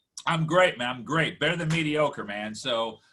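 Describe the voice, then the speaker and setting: The voice, in an American accent, has a bright, sharp tone and moves at a fairly quick pace. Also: man. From USA. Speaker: comedy podcast host. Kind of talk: interview. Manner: halting.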